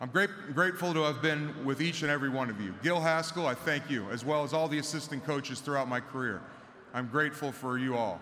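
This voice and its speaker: Against light background noise, a man talks at a very fast pace with ordinary pitch variation. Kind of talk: ceremonial speech. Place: stadium. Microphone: podium.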